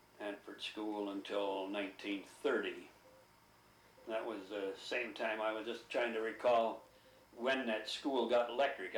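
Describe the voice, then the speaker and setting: A man with a Midwestern American accent speaks at a moderate pace in a medium pitch. His intonation is fairly even, and the room echo is audible. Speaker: oral history interviewee. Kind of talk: oral history interview.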